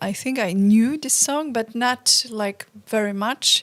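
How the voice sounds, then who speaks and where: A woman speaks with a Polish accent at a very slow pace. Her pitch varies in an ordinary way. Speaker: folk band singer, show co-host. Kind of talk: casual chat.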